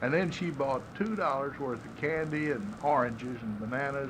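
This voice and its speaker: A man talks at medium pitch with ordinary pitch variation. Noticeable background noise runs under his voice. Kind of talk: interview, casual reminiscing.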